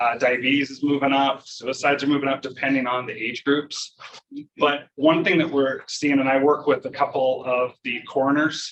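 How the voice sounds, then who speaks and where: A man talks at a moderate pace with monotone, flat intonation. His pitch sits fairly high. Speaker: professor. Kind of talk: lecture. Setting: conference talk with audience. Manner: loud.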